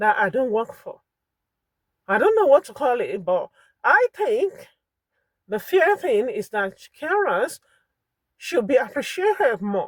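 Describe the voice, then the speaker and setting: Someone with a Nigerian accent talks in an animated tone. The pace is fairly slow. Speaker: vlogger and full-time carer. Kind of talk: impassioned monologue.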